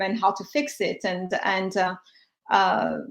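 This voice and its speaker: A woman with a French accent, fairly even intonation and a fairly slow pace. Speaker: cancer survivor and health tech founder. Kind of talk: panel discussion. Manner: halting, many fillers.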